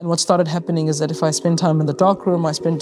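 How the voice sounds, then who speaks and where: With music playing behind her, a woman speaks at a very deep, low pitch. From South Africa. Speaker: singer-songwriter. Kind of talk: podcast interview answer.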